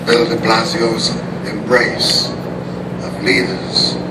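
Loud background noise fills the recording. Through it, a man speaks at a very slow pace. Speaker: speaker. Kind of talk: formal ceremonial speech. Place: street.

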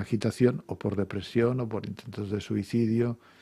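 A man speaks at a moderate pace in a somewhat breathy voice with a dark, mellow tone. His intonation is monotone and flat, and the background is quiet. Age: 60s. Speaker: psychotherapist and author; guest. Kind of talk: radio interview. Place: studio. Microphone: studio mic.

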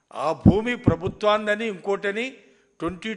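A man is speaking. His voice sits high in pitch. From Andhra Pradesh, Tadepalli (Guntur). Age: 70s. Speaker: politician. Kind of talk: press conference.

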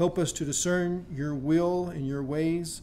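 Fairly even intonation from a man, with light background noise. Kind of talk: prayer. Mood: reverent, calm. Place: church. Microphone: podium.

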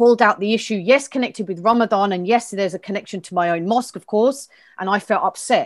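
Over a quiet background, a woman with a southern English accent talks at a fairly quick pace, her fairly high pitch showing ordinary variation. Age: 50s. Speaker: community organiser; interview guest. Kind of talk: interview. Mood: earnest, upset, determined. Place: home room. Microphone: earbuds.

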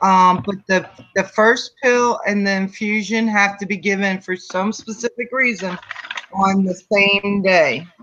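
At a fairly slow pace, a woman speaks in a normal speaking voice with medium pitch and fairly even intonation. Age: 50s. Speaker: viewer. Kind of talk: casual chat.

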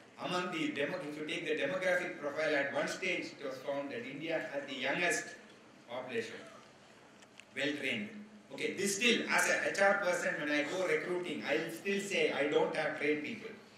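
Over light background noise and audible room echo, a man talks fairly quickly at a fairly high pitch with ordinary pitch variation. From India. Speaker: HR executive. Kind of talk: lecture. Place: hall. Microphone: podium.

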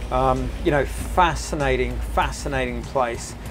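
A man talks fairly slowly while clear music plays behind him. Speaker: boat tour host. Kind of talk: casual tour commentary. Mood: enthusiastic, relaxed. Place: boat.

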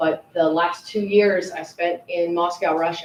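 Fairly quick and fairly low-pitched, a woman with an American accent talks over noticeable background noise. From Pennsylvania. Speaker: Marine first sergeant. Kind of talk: public introduction at township meeting.

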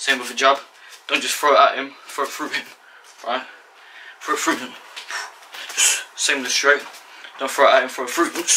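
A man speaks at a fairly quick pace with big swings in loudness over light background noise. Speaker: boxing instructor. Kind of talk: tutorial. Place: home room. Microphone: camera far.

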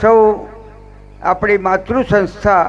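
Fairly even intonation from a man, noticeable background noise underneath. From Gujarat, Limbdi (Jhalawad), born in Kutch. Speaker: politician, former student. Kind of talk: ceremonial speech.

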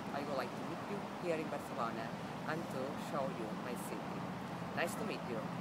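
A woman talks at a moderate pace against loud background noise. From Barcelona, Spain. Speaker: tour guide. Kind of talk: promotional self-introduction to camera. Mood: warm, friendly. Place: open country.

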